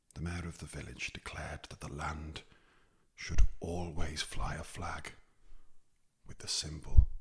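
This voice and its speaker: Whispering with a Welsh accent, the speaker moves at a fairly slow pace. Long, frequent pauses break up the speech. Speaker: ASMR storyteller. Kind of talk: ASMR story narration. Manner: soft-spoken.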